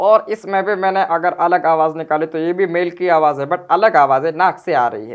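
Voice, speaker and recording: A man puts on a nasal character voice, pitched high, talking at a fairly quick pace with hardly any pauses. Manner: deliberately altered voice demo.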